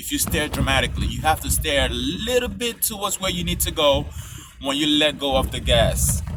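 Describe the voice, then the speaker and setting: The speaker is a man with a non-native accent. He talks at a moderate pace over noticeable background noise. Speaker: driver giving road safety tips. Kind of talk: casual tutorial. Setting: in a car, driving on a snowy highway. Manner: casual, slightly halting.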